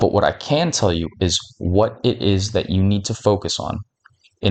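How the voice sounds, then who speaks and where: Quietly, a man speaks with a very deep, low pitch. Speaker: fitness content creator. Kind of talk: tutorial. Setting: at home at night. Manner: quiet, close to mic. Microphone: mic very close to face.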